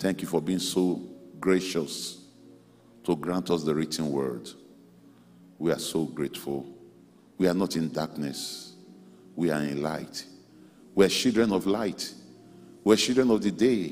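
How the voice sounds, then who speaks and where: Faint music plays in the background. A man with a very deep, low pitch speaks at a fairly slow pace. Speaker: pastor leading prayer. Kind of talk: prayer. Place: hall. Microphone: handheld.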